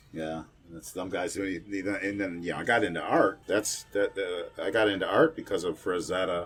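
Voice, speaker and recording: Over music in the background, the speaker keeps a moderate pace and a relaxed tone with hardly any pauses. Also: man. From Kenosha, Wisconsin. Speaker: horror host, musician, actor, radio host. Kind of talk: casual interview answer. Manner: relaxed, conversational, reminiscing.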